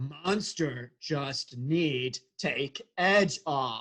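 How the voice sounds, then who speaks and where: The speaker uses a put-on character voice at a low-to-middle pitch. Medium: stage play. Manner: broken third-person speech.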